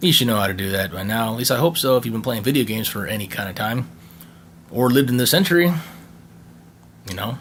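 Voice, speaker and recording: Against noticeable background noise, a man speaks with lively intonation and long, frequent pauses. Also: medium pitch for a man. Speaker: tech YouTuber. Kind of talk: unboxing video. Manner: halting, stuttering; casual.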